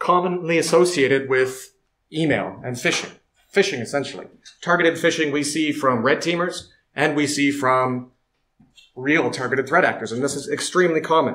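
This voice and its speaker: Amid audible room echo, a man with a fairly high pitch speaks at a moderate pace with ordinary pitch variation. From Canada. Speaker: security researcher. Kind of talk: conference talk.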